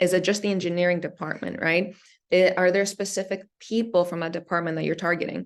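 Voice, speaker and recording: Her pitch sits in the middle range for a woman. She talks at a fairly quick pace with monotone, flat intonation. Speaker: startup venture manager, workshop speaker. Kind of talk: workshop presentation. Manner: fast.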